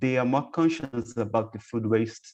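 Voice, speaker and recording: A man's medium-pitched voice with a Brazilian accent. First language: Portuguese. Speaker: professor and researcher. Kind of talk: conference Q&A. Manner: halting.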